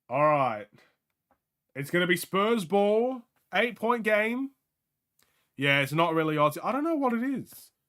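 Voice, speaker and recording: The voice has a bright, sharp tone and very wide pitch swings, broken by long, frequent pauses. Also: man, high pitch for a man, fairly slow pace. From Australia. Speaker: sports streamer. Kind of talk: live game watchalong commentary. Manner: casual, animated.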